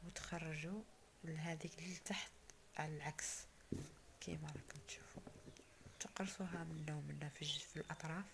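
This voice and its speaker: A woman talks with an Algerian accent at a moderate pace. She leaves long, frequent pauses. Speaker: cooking channel host. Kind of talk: cooking tutorial.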